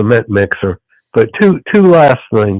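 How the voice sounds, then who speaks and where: A man in a Southern US accent talks at a moderate pace and a medium pitch. His intonation is lively, and the sound is dry and close with no echo. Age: 60s. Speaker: caller. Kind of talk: casual chat.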